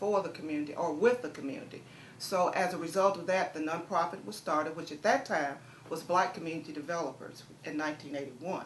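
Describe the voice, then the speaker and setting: Through audible room echo and noticeable background noise, a woman talks at a fairly quick pace with ordinary pitch variation. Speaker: community nonprofit director. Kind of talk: interview. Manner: fast.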